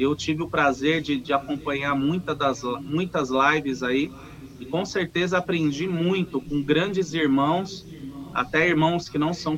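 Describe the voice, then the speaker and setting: The speaker talks at a fairly slow pace with ordinary pitch variation over noticeable background noise. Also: man. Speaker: umbanda practitioner and singer. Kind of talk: casual chat. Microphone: too quiet.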